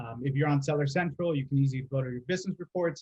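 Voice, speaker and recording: A fairly high, somewhat breathy male voice with fairly even intonation. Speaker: podcast host, account strategy director. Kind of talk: casual business podcast discussion. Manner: fast.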